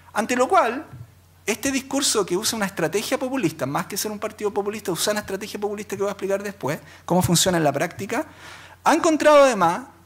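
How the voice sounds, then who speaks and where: A man with a Chilean accent talks at a very fast pace, his pitch swinging very widely. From Chile, Quillota. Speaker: law professor, labor lawyer. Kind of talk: academic talk. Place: hall. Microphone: podium.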